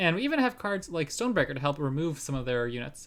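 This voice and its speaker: Very fast speech in a very clean recording with a silent background. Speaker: card game streamer. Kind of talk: live gameplay commentary. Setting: live stream. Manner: babbly.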